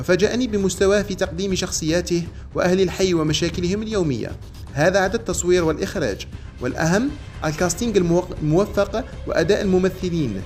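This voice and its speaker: Over background music, a man with a high pitch speaks at a moderate pace with ordinary pitch variation. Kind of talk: news commentary narration reading a quoted statement.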